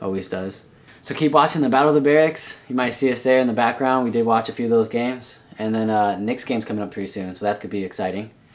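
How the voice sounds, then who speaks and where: This man speaks at a very fast pace with ordinary pitch variation. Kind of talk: casual vlog chat. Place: home room. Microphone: webcam.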